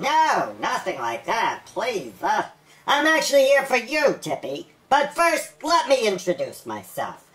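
A female-sounding, high-pitched, cartoonish character voice moves at a fairly slow pace. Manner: smooth, schmoozy.

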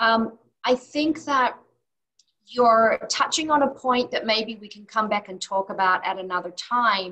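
A bright, sharp tone at a fairly slow pace, with ordinary pitch variation, big swings in loudness and a quiet background. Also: woman, fairly high pitch for a woman. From Australia. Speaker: occupational therapist; interview guest. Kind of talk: interview. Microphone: webcam.

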